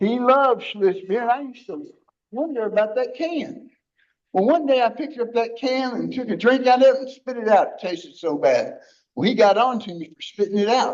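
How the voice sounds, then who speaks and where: A man's extremely high pitch with lively intonation, big swings in loudness and a fairly quick pace. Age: 60s. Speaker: recovering addict sharing his story. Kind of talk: testimony. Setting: church recovery group. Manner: blunt, conversational.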